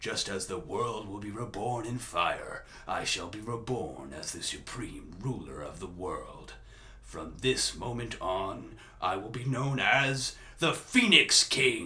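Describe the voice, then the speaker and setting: A man puts on a character voice at a fairly slow pace, with big swings in loudness. Clear background noise can be heard. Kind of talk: character voice impressions. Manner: menacing.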